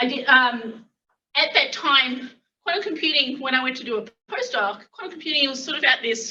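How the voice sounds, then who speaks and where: The speaker moves at a moderate pace. The intonation is lively. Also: woman. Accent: Australian. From Australia. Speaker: physics academic. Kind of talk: lecture. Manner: halting, many fillers.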